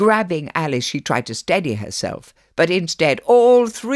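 The voice heard here is a natural reading voice.

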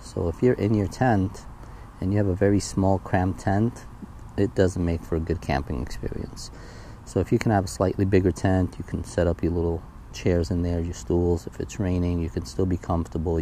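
At a fairly quick pace, a man with a very deep, low voice speaks with ordinary pitch variation, the sound dry with no echo and light background noise present. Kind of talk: gear walkthrough tutorial. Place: garden. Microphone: phone near.

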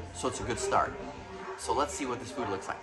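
Clear music plays in the background behind a man's voice. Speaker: food reviewer. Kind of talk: casual vlog chat. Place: cafe. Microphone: phone near.

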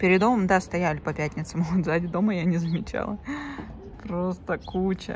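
Over light background noise, a woman with a fairly low pitch speaks at a moderate pace with fairly even intonation and long, frequent pauses. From Yakutsk, Russia; Russia. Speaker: vlogger and mother; vlogger. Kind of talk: casual vlog talk to camera. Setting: at home, bathroom. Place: home room. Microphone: phone near.

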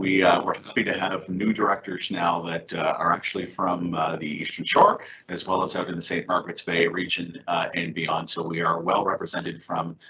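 A man speaks at a moderate pace with a low pitch and little pitch movement. His tone is bright and sharp.

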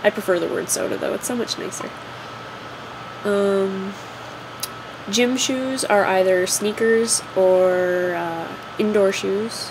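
A woman speaks at a very slow pace with fairly even intonation and long, frequent pauses. Noticeable background noise runs under her voice. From Ontario, Canada. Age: 20s. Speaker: vlogger. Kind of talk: casual talk to camera. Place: home room. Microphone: webcam.

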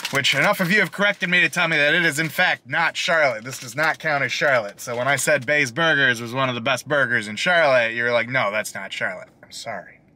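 A man rattles along at a very fast pace with hardly any pauses and big swings in loudness, over light background noise. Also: lively intonation, dry sound with no echo. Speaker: food reviewer. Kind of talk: casual vlog chat. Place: car. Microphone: phone near.

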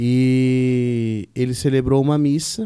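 Over a quiet background, the voice has a dark, mellow tone and fairly even intonation. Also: man. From Brazil, São Paulo state coast (São Sebastião); São Paulo, Brazil. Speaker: parish priest. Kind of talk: interview. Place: studio. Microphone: studio mic.

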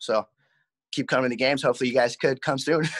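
Bright and sharp in tone, the voice carries an American accent against a quiet background. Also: man. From Southern California, Covina area; California. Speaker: minor league baseball player. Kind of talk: interview. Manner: halting. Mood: relaxed, grateful. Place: home room. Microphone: video call.

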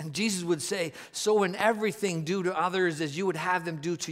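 Against a quiet background, a man talks in a high voice. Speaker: preacher. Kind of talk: sermon. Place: stage. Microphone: headset.

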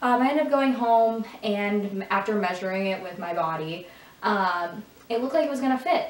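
Audible room echo surrounds a woman speaking at a medium pitch and moderate pace with lively intonation. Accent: Michigan. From Michigan. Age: 20s. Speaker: lifestyle YouTuber; vlogger. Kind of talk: casual talk to camera. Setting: echoey room. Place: home room.

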